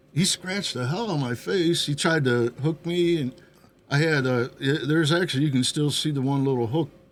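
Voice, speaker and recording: This man has an ordinary speaking voice, fairly high in pitch, with ordinary pitch variation and a moderate pace. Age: 60s. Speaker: bar regular playing Santa. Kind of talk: casual chat.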